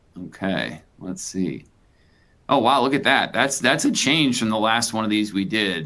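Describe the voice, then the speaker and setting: At a moderate pace, a man with an American accent speaks in a fairly low voice with ordinary pitch variation. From Chicago. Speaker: business executive. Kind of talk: webinar presentation. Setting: live webinar. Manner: animated.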